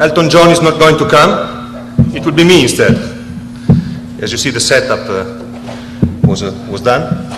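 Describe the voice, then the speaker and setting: With music in the background, a man in an Italian accent speaks at a fairly slow pace and medium pitch, using lively intonation and long, frequent pauses. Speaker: speaker addressing an audience. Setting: stage. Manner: hesitant, frequent fillers.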